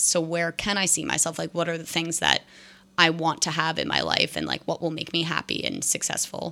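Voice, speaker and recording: Bright and sharp in tone with vocal fry, the voice sits on a very clean recording against a silent background. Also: woman. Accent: American. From New Jersey. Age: 20s. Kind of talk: casual chat. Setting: kitchen at home.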